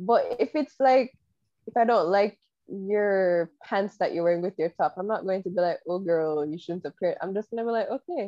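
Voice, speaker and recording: A woman speaks at a moderate pace, medium in pitch, with ordinary pitch variation. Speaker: podcast co-host. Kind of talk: casual chat. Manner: soft-spoken.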